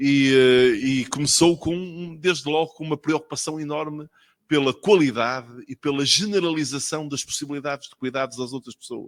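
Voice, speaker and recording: With a northern Portuguese accent, a man speaks at a moderate pace in a fairly high pitch, with ordinary pitch variation and big swings in loudness, captured as a dry, close sound with no echo. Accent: northern Portuguese accent, noticeable. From northern Portugal. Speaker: physician, official speaker at ceremony. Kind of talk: ceremonial speech.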